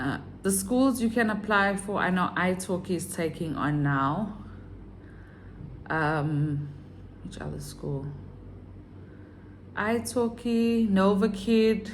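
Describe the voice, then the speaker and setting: Speaking at a very slow pace with long, frequent pauses, a woman with a medium pitch and lively intonation sounds somewhat breathy in audible room echo. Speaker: online English teacher and vlogger. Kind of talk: casual vlog tutorial.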